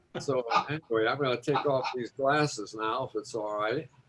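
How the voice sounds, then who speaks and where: This man speaks with an American accent at medium pitch and a moderate pace, his intonation fairly even, over noticeable background noise. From Chicago. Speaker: Rotary club member. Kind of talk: video call meeting remarks.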